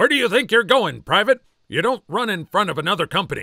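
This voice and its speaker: Using a put-on character voice, a man speaks at a very fast pace and a high pitch. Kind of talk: military. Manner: barking, commanding.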